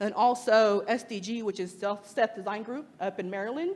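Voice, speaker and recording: A woman with an American accent, fairly high-pitched, at a fairly quick pace. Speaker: freelance lettering artist and designer. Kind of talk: meetup talk to audience. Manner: animated.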